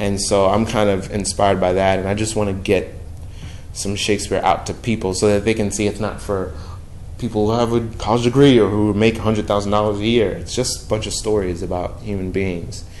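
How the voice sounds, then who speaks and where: Monotone, flat intonation from a man at a fairly low pitch and fairly quick pace, with audible room echo. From New York, Brooklyn. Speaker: touring theater performer. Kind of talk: casual chat. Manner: halting.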